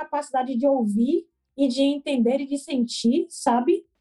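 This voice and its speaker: A woman talks in a Bahian accent. Her voice is high-pitched, with a dark, mellow tone. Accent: Bahian Brazilian Portuguese. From Brazil, Salvador (Bahia). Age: 20s. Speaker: entrepreneur, education startup founder. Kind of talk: casual interview.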